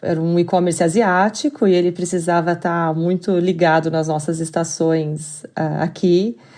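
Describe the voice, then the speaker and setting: A woman with a Curitiba accent speaks in a fairly low voice with a dark, mellow tone. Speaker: business expert. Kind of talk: podcast interview.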